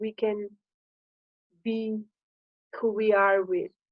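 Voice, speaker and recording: A woman with a Slovenian accent talks at a very slow pace. Her pitch is fairly high. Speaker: coach on high sensitivity. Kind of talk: informal talk to camera. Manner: halting.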